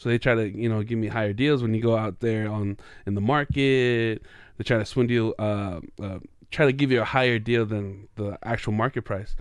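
Against a quiet background, a man with a Samoan accent speaks at medium pitch and a moderate pace, his intonation fairly even. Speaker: podcast co-host. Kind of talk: casual chat.

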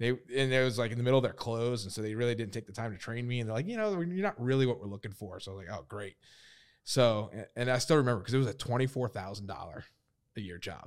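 A man at medium pitch with ordinary pitch variation, very fast and with big swings in loudness, on a very clean recording with a silent background. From New Orleans area, Louisiana. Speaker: accountant. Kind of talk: casual chat.

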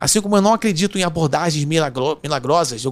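Here a man speaks with a Carioca accent. His pitch is high, with ordinary pitch variation. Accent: Carioca (Rio). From Rio de Janeiro, Brazil. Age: 50s. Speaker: innovation consultant. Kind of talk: casual interview chat. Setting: studio.

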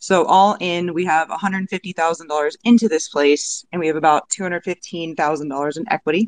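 A woman with a plain, everyday voice, pitched fairly low and with ordinary pitch variation. The sound is dry and close, with no echo. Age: 30s. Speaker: podcast host. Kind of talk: casual discussion. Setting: online audio room.

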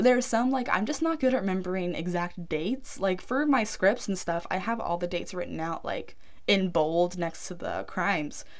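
In audible room echo, a woman with a medium pitch talks at a moderate pace with hardly any pauses. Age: 20s. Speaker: true crime podcaster. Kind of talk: casual storytelling monologue. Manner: low energy.

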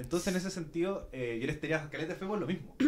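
Speaking at a very fast pace, a man with a Chilean accent shows ordinary pitch variation. Room echo is audible, and there is noticeable background noise. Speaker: radio producer hosting a podcast episode. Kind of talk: live podcast panel chat. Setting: radio studio, streamed live.

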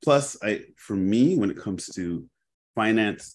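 A man talks with a Toronto accent and lively intonation. The background is quiet. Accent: Canadian (Toronto area). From Canada, Brampton, Ontario. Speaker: insurance and wealth advisor. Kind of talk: interview.

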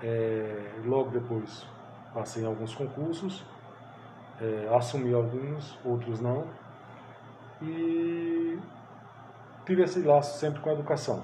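A man with a medium pitch speaks very slowly, his pitch varying in an ordinary way. Long pauses come often, and the room echo is audible. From Pernambuco, Brazil (Sertânia, rural). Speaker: psychoanalyst and teacher. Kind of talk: interview.

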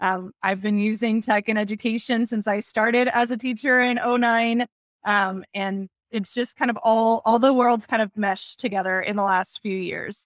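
Fairly high in pitch, a woman speaks in a plain, everyday voice with an American accent. Her pace is moderate and her intonation fairly even, in a dry, close sound with no echo. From Texas. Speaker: educational technology coordinator. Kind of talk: interview conversation. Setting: video call.

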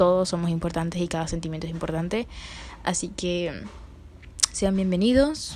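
This woman has a fairly low pitch and fairly even intonation. She speaks at a moderate pace. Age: 20s. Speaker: podcaster, psychology student. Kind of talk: casual monologue.

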